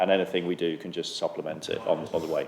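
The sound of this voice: A man speaks at a fast pace. His pitch is low.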